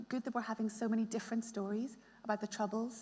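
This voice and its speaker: With a Belfast accent, a woman speaks fairly quickly at a fairly high pitch, somewhat breathy and monotone in a flat way. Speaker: novelist. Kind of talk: panel discussion. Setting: stage with audience.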